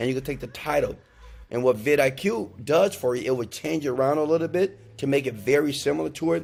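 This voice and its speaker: Over music in the background, a man talks at a fairly quick pace in an animated tone, with medium pitch and ordinary pitch variation. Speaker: online marketing youtuber. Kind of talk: tutorial. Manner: loud.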